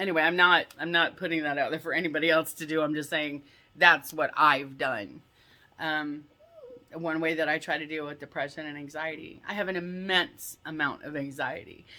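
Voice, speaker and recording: Big swings in loudness mark this woman's very deep, low voice, delivered with fairly even intonation. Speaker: vlogger. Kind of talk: casual vlog rant. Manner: fast.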